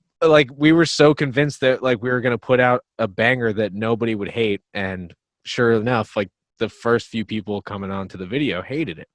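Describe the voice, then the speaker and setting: In a New Jersey accent, a man speaks at a fairly quick pace and medium pitch, with ordinary pitch variation and big swings in loudness, in a dry, close sound with no echo and a quiet background. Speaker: metal band drummer and vocalist. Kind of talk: casual podcast interview.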